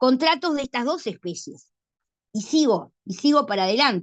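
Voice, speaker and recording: In a dry, close sound with no echo, a woman speaks with lively intonation. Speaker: law professor. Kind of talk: lecture. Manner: fast.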